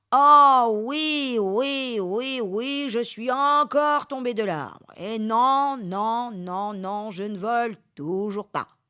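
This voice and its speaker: A put-on character voice at a very slow pace with hardly any pauses. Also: woman, fairly high pitch for a woman. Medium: read story.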